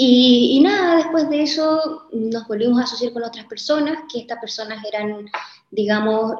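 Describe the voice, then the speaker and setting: The woman uses an ordinary speaking voice at a moderate pace. Her pitch is fairly high, with ordinary pitch variation. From Chile. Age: 20s. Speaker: entrepreneur. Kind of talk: interview.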